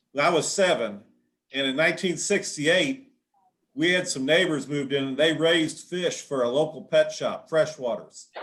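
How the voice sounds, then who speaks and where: Speaking at a moderate pace, a man has an ordinary speaking voice with a fairly high pitch and ordinary pitch variation. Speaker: aquarium hobbyist. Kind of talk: casual chat.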